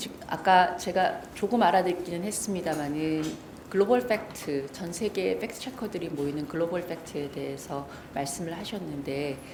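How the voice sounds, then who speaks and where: A woman's voice swings widely in loudness amid audible room echo and noticeable background noise. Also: fairly low pitch for a woman, ordinary pitch variation, moderate pace. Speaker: fact-checking center director and former journalist. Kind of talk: lecture. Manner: formal.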